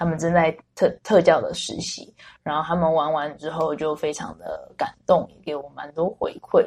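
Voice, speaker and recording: Speaking at a moderate pace, a woman's voice shows big swings in loudness. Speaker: special education teacher. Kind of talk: interview conversation.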